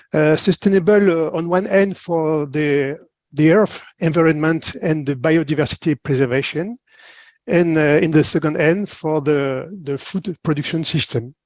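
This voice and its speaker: Against a quiet background with a dry, close sound and no echo, a man with a European accent speaks at a fairly high pitch with ordinary pitch variation. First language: French. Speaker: marine biologist. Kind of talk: conference presentation. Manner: halting.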